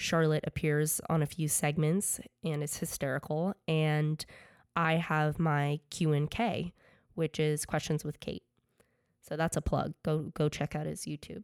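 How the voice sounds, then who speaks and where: In a very clean recording with a silent background, a woman with an American accent and a very deep, low pitch speaks at a fairly slow pace in a monotone, flat intonation. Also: dry, close sound with no echo. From Connecticut, US. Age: 20s. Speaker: podcast host, fashion designer and student. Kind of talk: podcast monologue.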